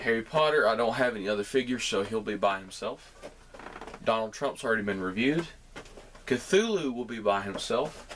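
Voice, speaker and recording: A medium-pitched man with a Southern US accent, fairly quick pace and ordinary pitch variation, amid noticeable background noise. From US South. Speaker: toy reviewer YouTuber. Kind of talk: product review. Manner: casual.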